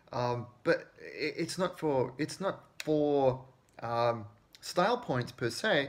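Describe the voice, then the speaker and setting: At a medium pitch, a man speaks in a somewhat breathy voice with ordinary pitch variation. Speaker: scale model hobbyist livestreamer. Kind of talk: casual live stream tutorial. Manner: hesitant, many fillers and repetitions.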